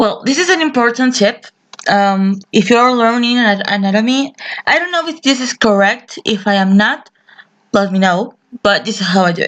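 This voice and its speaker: A woman with a non-native accent speaks at a moderate pace. Her fairly high voice has lively intonation. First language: not English. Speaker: digital artist. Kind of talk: tutorial. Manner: halting. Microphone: poor audio quality.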